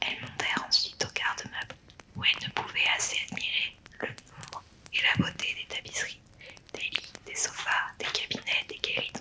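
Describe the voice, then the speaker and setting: Noticeable background noise is present. The words are whispered at a moderate pace. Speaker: storyteller. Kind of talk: bedtime story reading.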